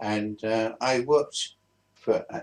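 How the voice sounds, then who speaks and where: A man talks with a London accent. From southeast London, England. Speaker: vlogger. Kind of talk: casual storytelling. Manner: halting.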